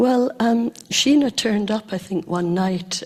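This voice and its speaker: Woman with a Scottish accent at a moderate pace. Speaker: community member. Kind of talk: reminiscence on stage.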